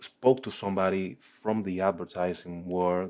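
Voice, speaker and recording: Very deep and low in pitch, a man speaks with a strong non-native accent. His intonation is monotone and flat, and his pace fairly slow. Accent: heavy foreign. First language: not English. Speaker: startup founder and CEO. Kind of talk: presentation and product demo. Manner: hesitant with many fillers.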